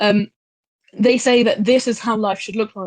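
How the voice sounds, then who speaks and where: An English accent with fairly even intonation, in a dry, close sound with no echo over a quiet background. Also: woman. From England. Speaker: speaker in online discussion. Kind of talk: group discussion contribution.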